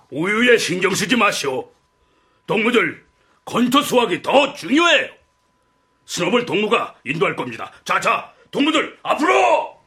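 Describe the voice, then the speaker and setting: In a put-on character voice, a man projects loudly at an extremely high pitch with very wide pitch swings, keeping a moderate pace broken by long, frequent pauses. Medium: audio drama. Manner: forceful, commanding.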